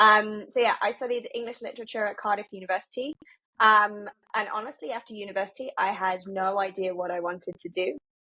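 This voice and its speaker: A woman speaks at a medium pitch with a British accent. Her pace is fairly quick and her pitch varies in an ordinary way. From UK. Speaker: marketing executive. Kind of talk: podcast interview. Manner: many filler ums.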